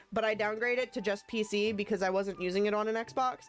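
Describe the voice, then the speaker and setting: A woman with an American accent speaks at a very fast pace in an animated tone. Music plays in the background. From USA. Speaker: gaming streamer. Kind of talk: casual live-stream chat. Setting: live stream.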